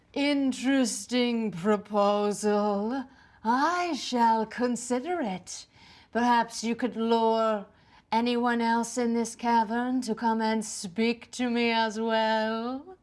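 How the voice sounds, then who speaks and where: A female-sounding put-on character voice, fairly high in pitch, moves at a very slow pace. The recording is very clean, with a silent background. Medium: actual play.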